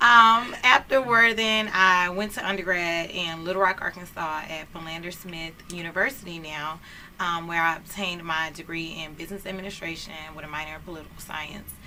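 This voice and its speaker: In a fairly low voice with an American accent, a woman talks at a fairly quick pace with ordinary pitch variation and big swings in loudness, amid noticeable background noise and audible room echo. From Houston, Texas. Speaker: community organizer and lawyer. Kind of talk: talk show interview. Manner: animated.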